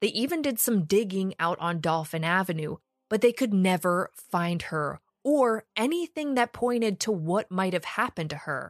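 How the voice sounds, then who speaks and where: A normal speaking voice with lively intonation at a moderate pace, dry and close with no echo, on a very clean recording over a silent background. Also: woman. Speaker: true crime podcaster. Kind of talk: true-crime narration. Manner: conversational, snarky, sarcastic.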